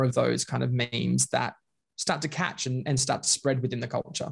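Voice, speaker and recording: A somewhat breathy man with an Australian accent, medium pitch and a fairly quick pace. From Australia, Queensland (Bundaberg). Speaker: leadership and culture consultant. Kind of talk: casual interview chat.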